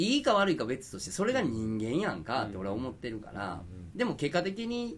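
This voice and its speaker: A man in a Kansai accent with vocal fry, very wide pitch swings, big swings in loudness and a fairly quick pace. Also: medium pitch for a man. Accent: Kansai (Osaka) dialect. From Osaka. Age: 40s. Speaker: fashion designer and podcast co-host. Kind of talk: casual chat.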